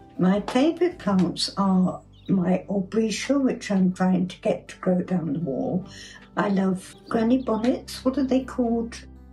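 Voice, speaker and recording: With an English accent, a woman talks at a fairly slow pace and a medium pitch, her intonation lively. Her loudness swings widely, and music plays in the background. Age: 80s+. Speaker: amateur gardener. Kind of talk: home video tour.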